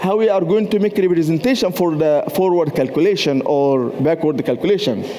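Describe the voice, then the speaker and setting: A high-pitched man's voice with lively intonation amid noticeable background noise. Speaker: university professor and researcher. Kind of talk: conference presentation. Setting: stage at a trade fair. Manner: hesitant, with many fillers.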